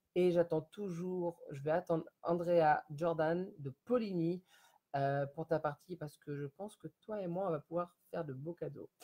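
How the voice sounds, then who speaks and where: A man's high-pitched voice with a dark, mellow tone at a fairly slow pace, recorded dry and close with no echo. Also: fairly even intonation. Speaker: home sales consultant for candles. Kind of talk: live-stream sales pitch. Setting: Facebook live video from home. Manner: halting, stammering.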